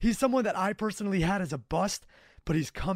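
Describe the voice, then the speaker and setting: This man's high-pitched voice moves at a fairly quick pace, recorded with a dry, close sound with no echo. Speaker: podcast host. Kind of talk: casual chat.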